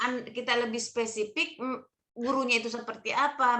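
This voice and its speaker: The voice belongs to a woman with a fairly high pitch. Her tone comes across bright and sharp. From Bugis region, South Sulawesi. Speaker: training mentor. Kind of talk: online mentoring session. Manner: loud, may sound stern.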